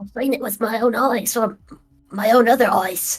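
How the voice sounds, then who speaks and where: A raspy, put-on character voice moves at a moderate pace over music in the background. The intonation stays fairly even. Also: woman, fairly high pitch for a woman. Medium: actual play. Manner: hesitant, stammering.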